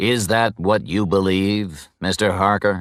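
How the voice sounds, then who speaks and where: A man puts on a character voice at a fairly low pitch and a fairly slow pace. The recording is very clean, with a silent background. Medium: read story. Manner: formal, measured.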